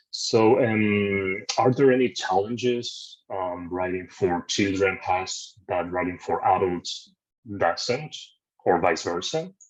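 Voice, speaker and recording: A man speaks at a very slow pace with a non-native accent. His pitch is fairly low, with ordinary pitch variation. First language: not English. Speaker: interviewer. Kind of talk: interview.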